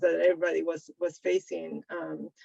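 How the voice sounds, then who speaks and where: Speaking with a non-native accent, a woman keeps to a moderate pace. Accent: noticeable foreign. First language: Spanish. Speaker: sociologist, book author. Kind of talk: panel discussion. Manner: halting, many fillers and repetitions.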